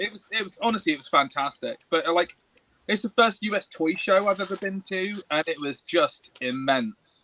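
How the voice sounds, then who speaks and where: In an English accent, the raised, projected voice has a bright, sharp tone and an animated tone, with lively intonation, big swings in loudness, a moderate pace and a dry, close sound with no echo. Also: man, high pitch for a man. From England. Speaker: toy maker. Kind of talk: casual chat.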